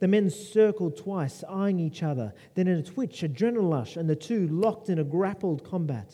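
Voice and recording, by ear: A natural voice, reading aloud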